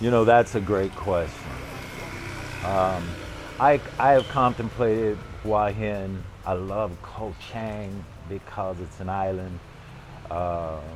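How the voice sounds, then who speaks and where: Music plays behind a man speaking at a very slow pace. His pitch is fairly low, with ordinary pitch variation. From Los Angeles, California. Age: 70s. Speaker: retired former radio personality and jazz musician. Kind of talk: interview answer.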